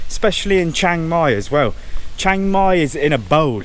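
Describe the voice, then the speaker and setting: With audible room echo, a man talks at a moderate pace in a fairly high pitch, his intonation lively. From southwest England, Cornwall. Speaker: travel vlogger. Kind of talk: casual vlog talk to camera. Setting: outdoors, walking around a temple. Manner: casual, conversational with repetitions.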